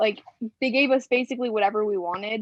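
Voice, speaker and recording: A woman with an ordinary speaking voice speaks at a fairly high pitch with fairly even intonation. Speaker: college softball player. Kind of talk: casual chat.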